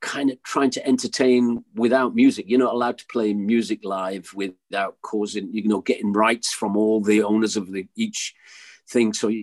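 Against a quiet background, a man with an English accent and a medium pitch speaks at a moderate pace with fairly even intonation, in a dry, close sound with no echo. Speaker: musician. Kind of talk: casual chat.

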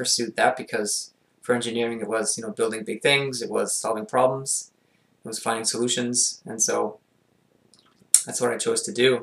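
A medium-pitched man with a Montreal accent, at a moderate pace. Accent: Canadian English, Montreal anglophone. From Montreal, Quebec. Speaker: mental performance consultant and coach. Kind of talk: casual interview.

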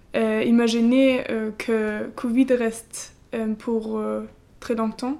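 A woman speaks very slowly in a fairly high pitch. Her tone is dark and mellow, with monotone, flat intonation. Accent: German. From eastern Germany. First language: German (speaking French). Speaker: civic service volunteer at a school. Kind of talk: interview. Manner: halting, hesitant with many fillers.

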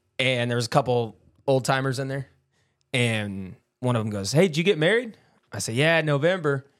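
Lively intonation marks a man of medium pitch who talks at a fairly quick pace broken by long, frequent pauses. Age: 20s. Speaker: podcast co-host. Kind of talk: casual chat. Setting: studio.

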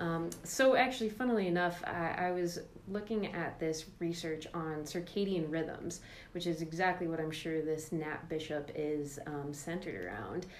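A woman speaks in an ordinary speaking voice at a moderate pace. Her pitch is fairly low, with ordinary pitch variation. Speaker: podcast host. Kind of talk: casual podcast discussion.

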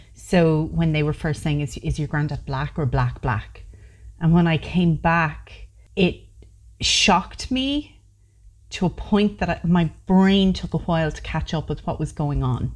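A woman speaks at a fairly slow pace in a Waterford Irish accent. The recording is very clean, with a silent background. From Ireland. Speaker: podcast host. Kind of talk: casual interview.

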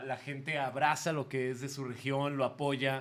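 A man speaks at a fairly slow pace in a fairly high pitch. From Mexico, Guadalajara. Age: 20s. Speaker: theatre producer and former radio host. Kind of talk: casual chat.

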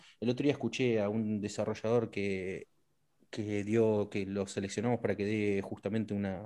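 The background is quiet. A man speaks at a moderate pace in a dark, mellow tone. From Argentina, Neuquén. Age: 40s. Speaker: government culture official and game industry figure. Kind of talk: interview.

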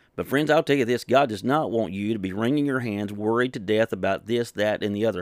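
A man speaks in a plain, everyday voice at medium pitch with ordinary pitch variation and a fairly quick pace. The recording is very clean and dry, close with no echo, over a silent background. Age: 50s. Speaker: pastor. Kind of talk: sermon.

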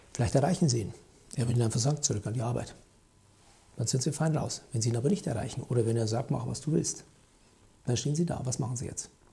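A man with a medium pitch and a dark, mellow, somewhat breathy tone speaks at a very fast pace with long, frequent pauses and ordinary pitch variation. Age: 50s. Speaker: company founder and podcast host. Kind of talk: solo commentary podcast.

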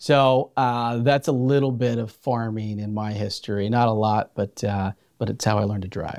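A man with an American accent speaks at a medium pitch in a normal speaking voice, his intonation fairly even and hardly any pauses breaking it, on a very clean recording with a silent background. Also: moderate pace. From Central California, San Joaquin Valley. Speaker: food bank CEO. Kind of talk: podcast interview.

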